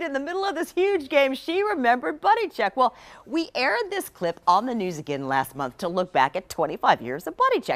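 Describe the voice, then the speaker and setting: Speaking at a fairly quick pace, a woman uses a high pitch with very wide pitch swings, and the sound is dry and close with no echo. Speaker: TV news reporter. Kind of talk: TV news anchor talk.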